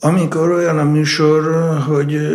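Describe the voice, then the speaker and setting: A man's voice with audible room echo. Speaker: conductor of a baroque ensemble. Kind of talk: interview.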